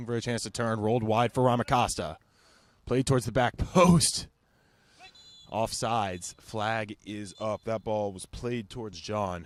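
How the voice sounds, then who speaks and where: An ordinary speaking voice from a man, medium in pitch with ordinary pitch variation, fairly slow, with big swings in loudness and a dry, close sound with no echo. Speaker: sports broadcaster. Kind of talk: soccer play-by-play commentary.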